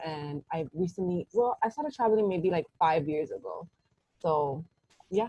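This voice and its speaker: Somewhat breathy, a woman speaks at a moderate pace with a New York accent. The sound is dry and close, with no echo. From New York City. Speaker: hospitality worker. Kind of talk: casual chat.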